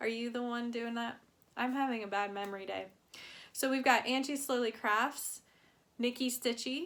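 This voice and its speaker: A woman speaks in a relaxed tone at a high pitch, with fairly even intonation and a moderate pace. Long, frequent pauses break up her speech in a very clean recording with a silent background. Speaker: cross-stitch vlogger. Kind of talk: casual chat. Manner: relaxed, many fillers.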